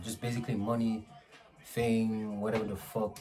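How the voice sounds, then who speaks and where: Music plays in the background as a man speaks. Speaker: motivational vlogger. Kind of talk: casual motivational monologue. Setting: at home. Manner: soft-spoken; casual, slangy. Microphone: poor microphone quality.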